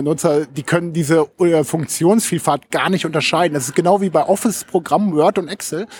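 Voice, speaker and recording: Pitch varies in an ordinary way in what is an ordinary speaking voice. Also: man. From Lower Saxony, Germany (Hameln). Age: 40s. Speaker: social media consultant and blogger. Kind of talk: casual interview. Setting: studio in Berlin.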